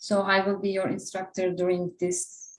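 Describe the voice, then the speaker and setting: This woman's voice sits at a medium pitch, with a Turkish accent. She speaks at a fairly slow pace. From Turkey. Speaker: interview prep instructor. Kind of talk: online class.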